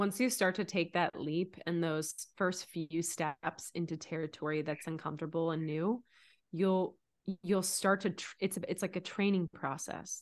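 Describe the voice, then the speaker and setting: A woman with a fairly low pitch and fairly even intonation speaks in a plain, everyday voice against a quiet background. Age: 30s. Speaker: life coach. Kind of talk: casual chat.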